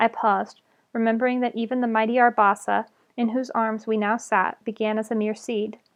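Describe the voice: Fairly even intonation in plain reading aloud.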